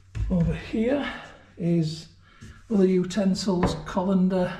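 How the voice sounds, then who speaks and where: With a Yorkshire accent, a man talks at a very slow pace in a high, dark and mellow voice with lively intonation, and the room echo is audible. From Yorkshire, northern England. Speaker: travel vlogger. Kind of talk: tutorial. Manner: casual.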